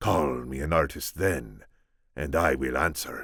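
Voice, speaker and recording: This man's pitch is very deep and low. He is doing a put-on character voice. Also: fairly slow pace. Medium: read story. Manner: earnest, measured.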